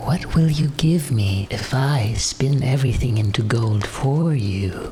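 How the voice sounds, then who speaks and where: A man at a medium pitch puts on a character voice and speaks at a fairly slow pace. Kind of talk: bedtime story. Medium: read story. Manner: screeching.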